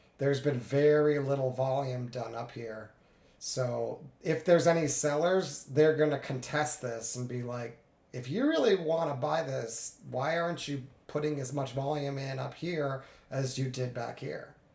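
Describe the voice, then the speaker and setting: Amid audible room echo, a man with a fairly high, somewhat breathy voice speaks at a moderate pace with fairly even intonation. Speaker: day trader streaming live trades. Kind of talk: live trading commentary. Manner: casual, conversational.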